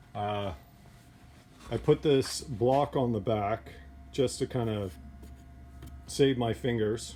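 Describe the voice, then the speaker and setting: Loud and with a fairly low pitch, a man shows very wide pitch swings and a dark, mellow tone. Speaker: cabinetry student. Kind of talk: tutorial demo. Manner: hesitant, many fillers.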